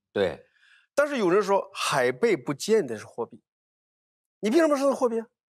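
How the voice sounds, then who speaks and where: Against a quiet background, a man with a high pitch uses very wide pitch swings and big swings in loudness, with long, frequent pauses. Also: moderate pace. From Hunan, Hunan-Jiangxi border; Hunan. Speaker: archaeologist; guest. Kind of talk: casual panel talk. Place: studio. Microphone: lapel.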